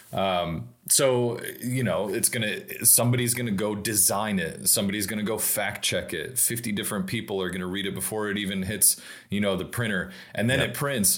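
Audible room echo follows a man speaking fairly quickly at a fairly low pitch. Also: ordinary pitch variation. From Tennessee, near Nashville. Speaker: automotive storyteller and brand strategist. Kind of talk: casual chat.

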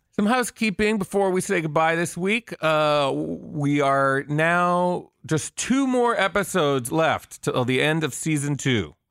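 A man with a plain, everyday voice speaks at a fairly slow pace and fairly high pitch with lively intonation and very even loudness, in a dry, close sound with no echo on a very clean recording with a silent background. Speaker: entertainment journalist and podcast host. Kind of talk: casual chat.

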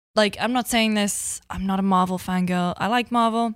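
Here is a woman with a Geordie accent. Her tone is animated. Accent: Geordie (north-east English). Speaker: video game journalist. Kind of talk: casual chat.

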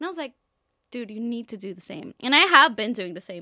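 The voice swings very widely in pitch, recorded with a dry, close sound and no echo. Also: woman. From Mexico. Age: 20s. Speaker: content creator. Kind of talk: casual monologue.

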